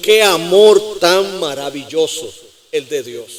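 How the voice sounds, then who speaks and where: A man speaks with ordinary pitch variation. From Puerto Rico. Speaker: pastor. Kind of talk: sermon. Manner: animated.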